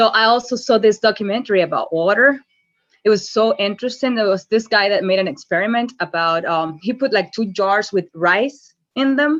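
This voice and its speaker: Over a quiet background, a woman with a non-native accent speaks at a fairly quick pace in a fairly high voice with ordinary pitch variation. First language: not English. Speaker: call participant. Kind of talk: group call sharing. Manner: halting, many fillers and repeats.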